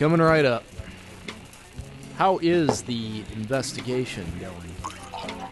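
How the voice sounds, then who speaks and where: A man's put-on character voice, medium in pitch, very slow, with clear music in the background. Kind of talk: radio drama performance.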